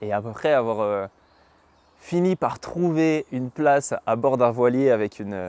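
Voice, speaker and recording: A man with medium pitch and lively intonation at a fairly slow pace, in dry, close sound with no echo. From western France, Mayenne. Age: 20s. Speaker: podcast host, traveler. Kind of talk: podcast monologue. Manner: halting, many hesitations.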